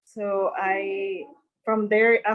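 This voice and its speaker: A woman at medium pitch with a Mexican accent and fairly even intonation. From Mexico (Monterrey). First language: Spanish. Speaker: hairstylist. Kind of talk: interview. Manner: halting.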